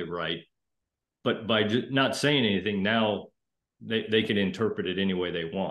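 At a moderate pace, a man speaks in a fairly low pitch with ordinary pitch variation, audible room echo, and a quiet background. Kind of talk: interview answer. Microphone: video call.

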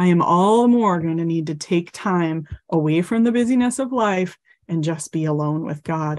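A plain, everyday voice with lively intonation at a moderate pace, over a quiet background. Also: woman. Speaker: mental health counselor and teacher. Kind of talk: guided meditation. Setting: online class, video call. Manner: gentle, instructive.

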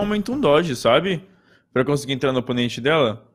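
Here a man is speaking. His intonation is lively. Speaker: gaming co-host. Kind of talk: livestream tutorial. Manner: halting.

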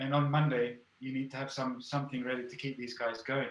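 The speaker talks at a moderate pace. Room echo is audible. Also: man. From Spain, English-speaking family. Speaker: artist and fine arts professor; fine arts professor. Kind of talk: casual interview. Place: home room. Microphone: video call.

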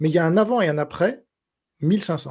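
A man speaks with lively intonation at a fairly high pitch. The background is quiet. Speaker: journalist and writer; journalist. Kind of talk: interview. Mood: opinionated, assertive. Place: home room. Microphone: studio mic.

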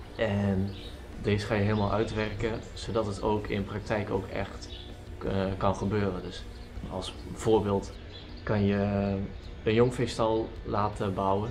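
Faint music plays in the background as a man speaks at a very slow pace with fairly even intonation and long, frequent pauses. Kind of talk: casual vlog chat. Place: farm machine. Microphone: camera far.

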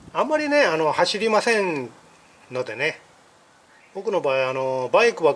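Fairly high pitch in a man's voice. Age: 50s. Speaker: YouTuber. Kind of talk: vlog tutorial. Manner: halting with many fillers. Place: garage. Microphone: phone near.

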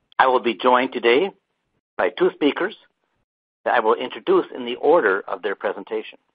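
A man talking at a fairly quick pace. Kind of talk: webinar moderation. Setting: webinar audio.

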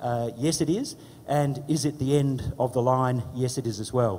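A man in an Australian accent speaks at a fairly high pitch. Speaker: politician. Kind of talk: panel presentation. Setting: stage with audience.

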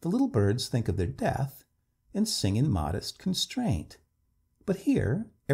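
The clip carries a natural reading voice against a quiet background.

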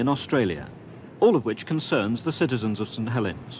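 A man speaks with a British accent at a fairly quick pace. His intonation is lively. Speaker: documentary narrator and interviewer. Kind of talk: documentary narration.

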